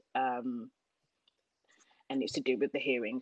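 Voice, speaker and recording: A woman with a Birmingham accent speaks at a fairly quick pace in a dry, close recording with no echo. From Birmingham, England (Jamaican heritage). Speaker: fashion business owner. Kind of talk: interview. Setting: remote recording.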